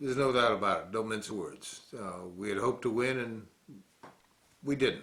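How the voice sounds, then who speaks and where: A man with an American accent talks at a medium pitch and moderate pace, with ordinary pitch variation, long, frequent pauses and audible room echo. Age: 60s. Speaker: war veteran, political commentator. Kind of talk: political commentary monologue.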